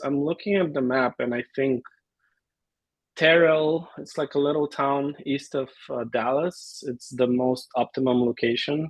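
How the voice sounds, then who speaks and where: A Bulgarian accent with ordinary pitch variation at a fairly slow pace. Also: man. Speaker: amateur photographer. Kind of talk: casual introduction in video meeting.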